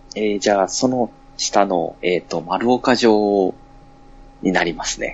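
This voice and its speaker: Fairly low pitch from a man, with ordinary pitch variation, a fairly slow pace and noticeable background noise. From Fukui, Japan. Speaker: podcaster. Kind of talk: casual chat.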